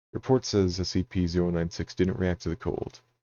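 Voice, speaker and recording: A man puts on a character voice. It comes out gruff. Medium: read story. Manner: blunt, profane, gruff.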